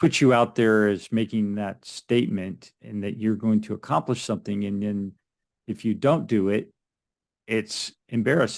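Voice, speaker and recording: An unremarkable speaking voice moves at a fairly slow pace with ordinary pitch variation. The recording is very clean, the background silent. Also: man. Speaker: podcast interviewer. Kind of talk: interview host talk.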